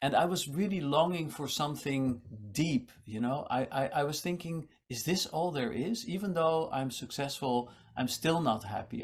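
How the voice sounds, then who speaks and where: Here a man talks at a moderate pace. His voice is fairly high and somewhat breathy. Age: 60s. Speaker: meditation teacher and musician. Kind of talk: casual interview chat.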